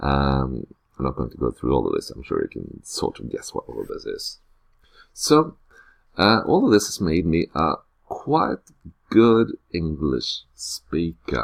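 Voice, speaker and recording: A man with a Norwegian accent at a fairly slow pace, long and frequent pauses, big swings in loudness, and a dry, close sound with no echo. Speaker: teacher. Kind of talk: unscripted screencast self-introduction. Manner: hesitant, many filler sounds.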